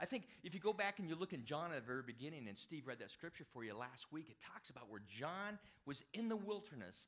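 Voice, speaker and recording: The background is quiet. A man speaks with very wide swings in pitch. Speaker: preacher. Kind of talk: sermon. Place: church.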